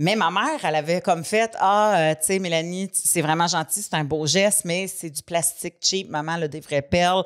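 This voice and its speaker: With hardly any pauses, a woman with a fairly low voice talks at a moderate pace and with ordinary pitch variation against a quiet background. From Quebec. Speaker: podcast co-host; comedian. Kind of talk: casual chat. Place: studio. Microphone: studio mic.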